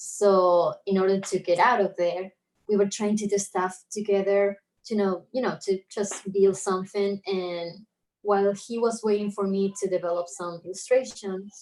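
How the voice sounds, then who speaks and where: In an Argentine accent, a woman talks at a moderate pace. Her medium-pitched voice is monotone, with flat intonation. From Argentina, Buenos Aires. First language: Spanish. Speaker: illustrator. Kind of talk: casual chat.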